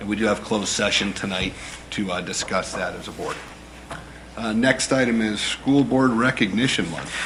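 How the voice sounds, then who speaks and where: Noticeable noise fills the background while a man's pitch rises and falls in an ordinary way. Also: fairly low pitch for a man, moderate pace. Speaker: school board president chairing meeting. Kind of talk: public meeting chairing. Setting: school board meeting room. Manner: loud.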